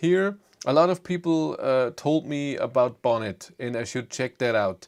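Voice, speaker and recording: In a very clean recording with a silent background, a man speaks at a moderate pace and medium pitch with lively intonation. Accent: German. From Germany. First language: German. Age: 40s. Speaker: EV YouTuber. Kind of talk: live stream chat. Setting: live stream. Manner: halting.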